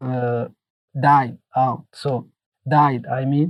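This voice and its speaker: Very clean recording of a man's somewhat breathy voice against a silent background. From Mauritania. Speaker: former Guantanamo detainee and author. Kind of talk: interview. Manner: halting, with repetitions.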